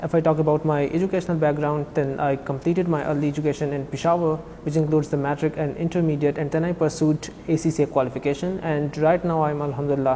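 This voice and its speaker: A man speaks at a very fast pace with hardly any pauses, in a fairly high pitch. His intonation is monotone and flat, with noticeable background noise behind him. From Pakistan, Khyber Pakhtunkhwa. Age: 20s. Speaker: financial auditor, former language student. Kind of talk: interview. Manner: halting, many fillers.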